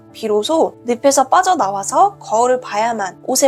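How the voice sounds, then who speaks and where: Noticeable background noise sits behind a woman with a high-pitched voice. She moves at a moderate pace with very wide pitch swings. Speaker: book reviewer. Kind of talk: book review narration.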